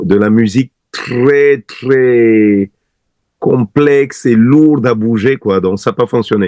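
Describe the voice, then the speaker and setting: Very slow speech with a Cameroonian accent, very even loudness and ordinary pitch variation in a dry, close sound with no echo. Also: man, medium pitch for a man. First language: Bassa (speaking French). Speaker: singer. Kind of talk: interview.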